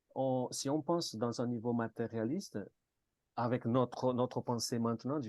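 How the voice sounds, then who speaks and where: A man with a Martinican accent speaks at a medium pitch and a fairly slow pace, his dark, mellow tone carrying ordinary pitch variation in a dry, close sound with no echo. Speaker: participant in a spiritist study group. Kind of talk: group discussion. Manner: halting, many repetitions and hesitations.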